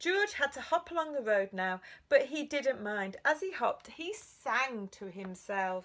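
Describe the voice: A text is simply read out plainly.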